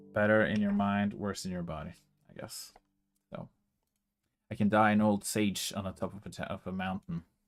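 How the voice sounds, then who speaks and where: Long, frequent pauses break up this man's speech. His pitch is fairly low and his intonation monotone and flat. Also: moderate pace, big swings in loudness. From Norway. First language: Norwegian. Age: 30s. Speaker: music composer livestreamer. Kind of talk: casual chat.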